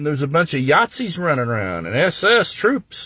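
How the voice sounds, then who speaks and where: An animated man with an American accent speaks in a bright, sharp tone. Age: 60s. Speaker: livestreamer. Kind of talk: casual chat.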